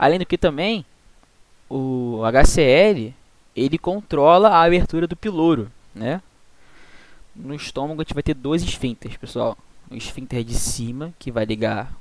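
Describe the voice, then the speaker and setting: With a Brazilian accent, a man speaks using lively intonation, big swings in loudness, and long, frequent pauses. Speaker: student tutor teaching veterinary physiology. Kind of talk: online tutoring lecture.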